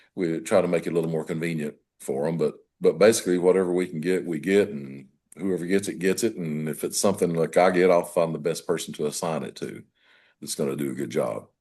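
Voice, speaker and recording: Very fast and dark, mellow in tone, a man speaks with an Appalachian accent. His pitch is very deep and low, his intonation fairly even. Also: quiet background. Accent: Southern US (Appalachian). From US South, western North Carolina. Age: 70s. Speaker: real estate broker. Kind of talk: interview. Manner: halting.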